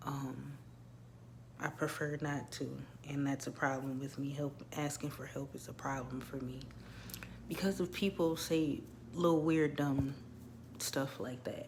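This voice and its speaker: A woman with a very deep, low pitch and vocal fry speaks with fairly even intonation and long, frequent pauses. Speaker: birth doula and wellness coach vlogger. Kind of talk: casual personal vlog monologue. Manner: conversational with frequent fillers.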